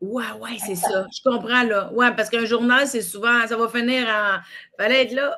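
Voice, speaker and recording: In a Quebec accent, a woman speaks at a fairly slow pace with a fairly high pitch, a bright, sharp tone and fairly even intonation. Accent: Québécois French. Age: 30s. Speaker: comedian and podcast host. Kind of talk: casual interview chat.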